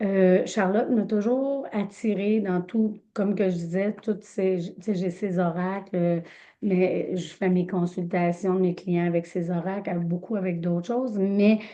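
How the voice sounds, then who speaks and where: Speaking in a Quebec accent, a woman keeps a fairly slow pace. Her medium pitch follows fairly even intonation. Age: 50s. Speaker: medium and energy healer. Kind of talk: casual introduction in online group session. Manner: halting, many fillers.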